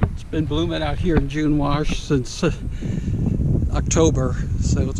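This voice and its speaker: A man at a fairly slow pace, dry sound with no echo, over loud background noise. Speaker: trail guide filmmaker. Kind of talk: casual vlog commentary. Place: open country. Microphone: phone near.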